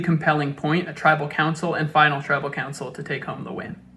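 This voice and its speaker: There is noticeable background noise behind a man's speech. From US South, Atlanta, Georgia. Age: 30s. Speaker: reality show applicant. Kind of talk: audition video monologue. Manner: animated.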